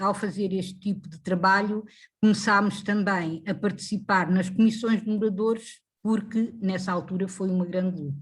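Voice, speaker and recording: A woman speaks at a fairly slow pace, somewhat breathy. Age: 70s. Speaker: retired factory worker and activist. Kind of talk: interview. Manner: halting.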